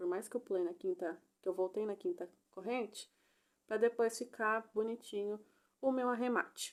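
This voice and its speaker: On a very clean recording with a silent background, a woman speaks. Her pitch is fairly high with ordinary pitch variation. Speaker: crochet instructor. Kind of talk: tutorial. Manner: animated.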